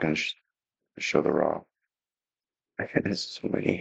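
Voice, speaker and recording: Whispering at a moderate pace, a man is heard in a dry, close sound with no echo. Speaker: music producer. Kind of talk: tutorial. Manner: halting.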